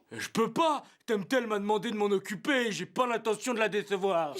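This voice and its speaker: Moderate pacing in a put-on character voice pitched fairly high. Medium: fan dub. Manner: cocky, taunting.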